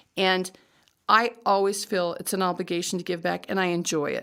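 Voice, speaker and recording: A woman talks. The background is silent and the recording very clean. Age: 60s. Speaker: judge. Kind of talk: interview. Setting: podcast. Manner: halting, with many repeated words.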